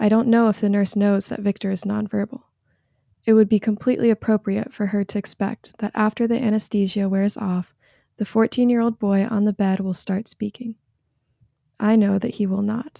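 On a very clean recording with a silent background and a dry, close sound with no echo, a woman with an American accent speaks at a moderate pace and medium pitch in a dark, mellow, somewhat breathy tone with monotone, flat intonation. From North Carolina. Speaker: recent graduate, religious studies. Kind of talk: reading aloud personal essay. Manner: gentle, measured.

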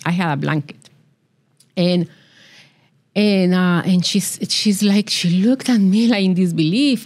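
On a very clean recording with a silent background, a woman speaks at a moderate pace with a fairly low pitch and ordinary pitch variation. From Colombia. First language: Spanish. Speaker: business accelerator founder. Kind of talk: interview.

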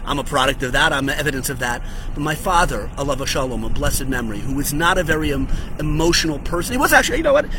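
Very fast talk from a man, with noticeable background noise and audible room echo around it. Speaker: rabbi. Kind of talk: short religious teaching video. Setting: outdoors on a hotel patio. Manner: animated.

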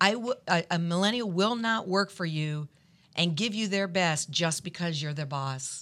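At a moderate pace, a woman with an unremarkable speaking voice talks at a fairly low pitch with lively intonation. The recording is very clean, with a silent background. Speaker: lead pastor and podcast host. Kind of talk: casual chat.

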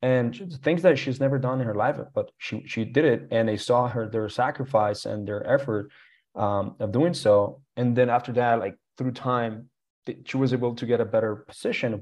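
A man speaks with a Spanish accent at a medium pitch. His pace is moderate and the background is quiet. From Colombia. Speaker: real estate entrepreneur. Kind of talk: interview. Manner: halting, many fillers and repeats.

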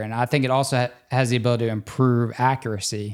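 A man with an American accent speaks at a medium pitch and a fairly quick pace in an unremarkable speaking voice. The recording is very clean, with a silent background. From US South, Louisiana near New Orleans. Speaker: interventional cardiologist. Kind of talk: casual interview.

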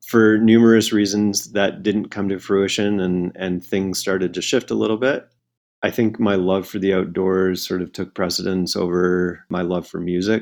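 Against a quiet background, a man with a very deep, low voice and a Canadian accent speaks in a monotone, flat intonation. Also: moderate pace. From Canada. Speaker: outdoor educator and nonprofit founder. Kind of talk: interview conversation.

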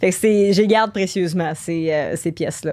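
On a very clean recording with a silent background, a woman speaks very slowly at a fairly low pitch. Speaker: musician and Twitch streamer. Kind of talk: casual interview chat.

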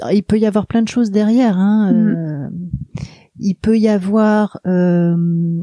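Over music in the background, a woman speaks at a medium pitch and a very slow pace with very even loudness and fairly even intonation, the sound dry and close with no echo. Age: 50s. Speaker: hypnotherapist. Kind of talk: interview. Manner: halting.

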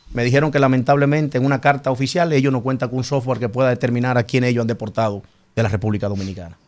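The man's pitch is medium and varies in an ordinary way. He speaks very fast. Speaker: senator. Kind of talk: studio interview.

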